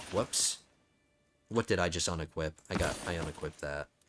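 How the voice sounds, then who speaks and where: Over music in the background, a man with an American accent speaks at a moderate pace in a very deep, low pitch. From New Jersey. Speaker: video game streamer. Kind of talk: casual gameplay commentary.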